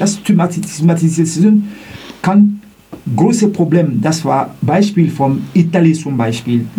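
A very slow, lively delivery in a non-native accent, with noticeable background noise. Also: man, high pitch for a man. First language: not German (speaking German). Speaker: student, eyewitness of racist incident. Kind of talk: testimony. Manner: halting.

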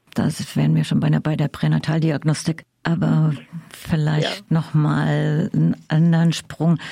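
Here a woman speaks at a very slow pace. Her loudness stays very even. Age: 70s. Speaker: interviewer. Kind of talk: interview.

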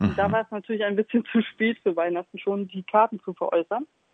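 Here a woman has a plain, everyday voice, fairly high in pitch, with ordinary pitch variation. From Stralsund, Mecklenburg-Vorpommern. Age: 40s. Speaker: artist. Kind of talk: interview.

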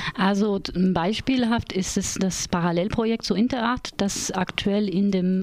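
Noticeable background noise sits under fairly slow speech whose pitch varies in an ordinary way. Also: woman. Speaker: theatre educator and project leader. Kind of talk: radio interview. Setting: radio studio.

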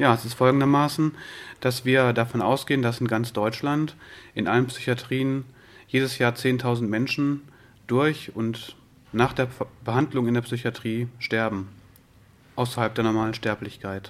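Long, frequent pauses break up a man's speech at a moderate pace. His medium-pitched voice keeps fairly even intonation. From western Germany, Wuppertal. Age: 30s. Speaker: peer support worker, psychiatric survivors' association. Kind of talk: interview.

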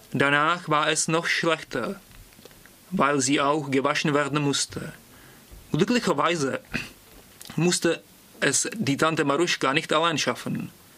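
Against noticeable background noise, a man with a Czech accent and a fairly high pitch talks at a fairly slow pace, with long, frequent pauses, very even loudness and ordinary pitch variation. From Prague, Czech Republic. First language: Czech (speaking German). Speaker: language student. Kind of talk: reading aloud.

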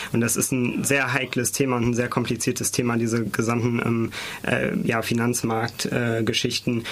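With noticeable background noise, the speech moves at a moderate pace in monotone, flat intonation. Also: man. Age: 20s. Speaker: student politician. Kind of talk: studio debate. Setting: studio.

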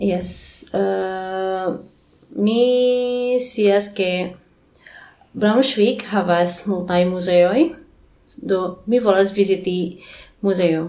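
A woman talks at a very slow pace and medium pitch, with ordinary pitch variation and long, frequent pauses. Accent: Indonesian. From Indonesia, Bandung. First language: Indonesian (speaking German). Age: young. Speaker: English teacher. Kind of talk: interview. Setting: Esperanto congress in Germany. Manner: halting.

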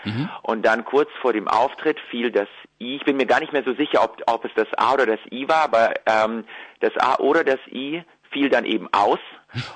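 Using an ordinary speaking voice, a man talks at a medium pitch and a moderate pace. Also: ordinary pitch variation. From Ukraine, moved to Germany at ten. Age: young. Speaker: singer-songwriter and violinist. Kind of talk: interview.

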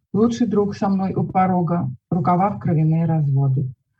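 A somewhat breathy woman at a fairly low pitch, moderate pace and lively intonation. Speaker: poet and writer. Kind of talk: poetry reading aloud, calm and measured, with brief spoken intro.

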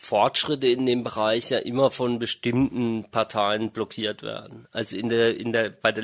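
This is an unremarkable speaking voice at a moderate pace, with fairly even intonation. The sound is dry and close, with no echo. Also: man. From Germany. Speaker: interviewee, dual citizen. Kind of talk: interview.

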